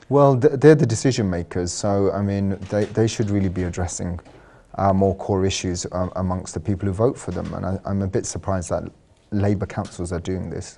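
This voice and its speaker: In a London accent, a man speaks with a fairly low pitch and a dark, mellow tone. His pace is fairly quick, with ordinary pitch variation. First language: Sylheti. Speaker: architect and artist. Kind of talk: TV interview.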